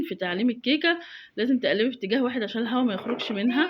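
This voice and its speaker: A woman with an Egyptian accent speaks at a very fast pace. Her voice is high-pitched, with lively intonation. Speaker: home cooking video maker. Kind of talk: cooking tutorial voiceover. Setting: recorded voiceover at home. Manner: casual, chatty with fillers.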